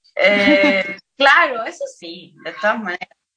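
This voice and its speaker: A bright, sharp tone with very wide pitch swings. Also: woman. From Chile. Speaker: singer-songwriter. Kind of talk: casual chat.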